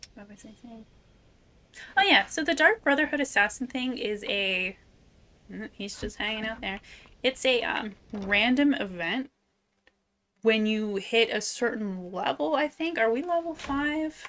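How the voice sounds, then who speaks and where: A woman with a bright, sharp tone and fairly high pitch speaks at a fairly slow pace with lively intonation, big swings in loudness and long, frequent pauses. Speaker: streamer, VTuber. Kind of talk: casual live-stream chat while gaming. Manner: soft-spoken; chatty, with many fillers.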